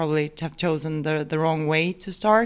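A woman's fairly low voice in a Swedish accent, with fairly even intonation. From Sweden. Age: 30s. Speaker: amateur triathlete. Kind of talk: interview.

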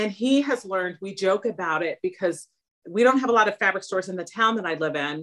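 An ordinary speaking voice with an American accent. The pace is fairly quick and the intonation lively. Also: woman. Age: 50s. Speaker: therapist and home sewist. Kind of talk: casual interview.

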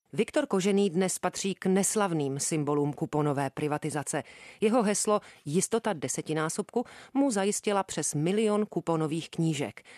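A woman with an unremarkable speaking voice, fairly low in pitch, with lively intonation, a moderate pace and very even loudness, against a quiet background in a dry, close sound with no echo. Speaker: radio host. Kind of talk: scripted narration.

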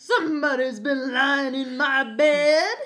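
A female-sounding voice does a high-pitched put-on character voice at a fairly slow pace.

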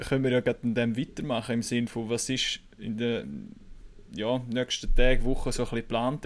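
With a Swiss accent, a man talks at a moderate pace and medium pitch, keeping his intonation fairly even. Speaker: hockey reporter. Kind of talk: podcast interview.

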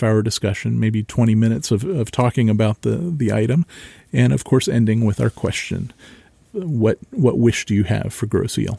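A man with an American accent has a dark, mellow tone, medium pitch and ordinary pitch variation. The recording is very clean and dry, close with no echo, and the background is silent. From central Ohio, US. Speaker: local history podcast host. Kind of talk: solo podcast monologue.

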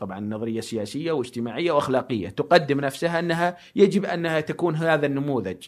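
This man's delivery is neither rushed nor slow, and his pitch moves in an ordinary way. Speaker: guest speaking on philosophy and faith. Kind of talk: long-form interview. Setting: studio, no headphones. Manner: loud.

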